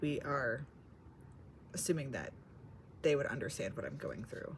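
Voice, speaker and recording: A woman at a moderate pace, with audible room echo. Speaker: vlogger. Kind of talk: casual vlog monologue. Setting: library. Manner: quiet; hesitant, filler-heavy.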